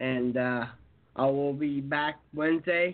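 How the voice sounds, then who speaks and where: A man speaks with an unremarkable speaking voice at a fairly high pitch. His intonation stays fairly even. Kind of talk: casual chat, predictions. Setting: phone call.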